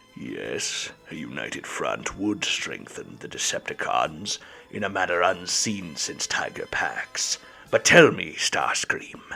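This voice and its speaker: A man performs a put-on character voice at a fairly slow pace. Clear background noise can be heard. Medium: read story.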